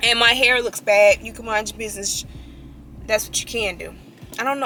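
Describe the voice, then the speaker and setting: Over noticeable background noise, a woman speaks at a very fast pace. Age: 20s. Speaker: vlogger and real estate agent. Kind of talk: casual vlog talk. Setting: in a car.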